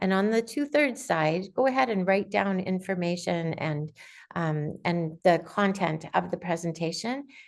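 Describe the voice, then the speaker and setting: A woman's normal speaking voice, fairly slow with lively intonation, against a quiet background. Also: fairly low pitch for a woman. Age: 60s. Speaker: aspiring writer, conference speaker. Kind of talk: informational talk on video call. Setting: video call.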